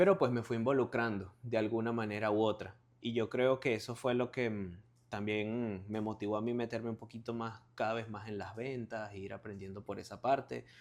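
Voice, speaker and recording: A man speaks with a Venezuelan accent. His pace is moderate and his intonation fairly even. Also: medium pitch for a man. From Venezuela (Barquisimeto). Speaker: car salesman, watch reseller. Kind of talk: interview, casual chat. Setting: at his home.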